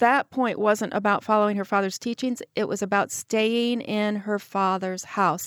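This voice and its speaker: A woman talks in a normal speaking voice, with hardly any pauses and fairly even intonation. The recording is very clean, with a silent background. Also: medium pitch for a woman, moderate pace, dry, close sound with no echo. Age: 60s. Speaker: author. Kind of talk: interview.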